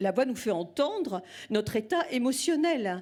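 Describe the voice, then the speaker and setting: Delivered at a very slow pace, the voice has a warm tone and very wide pitch swings. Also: woman. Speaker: singing teacher. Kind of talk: speech to audience. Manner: warm, speaks with pauses and fillers.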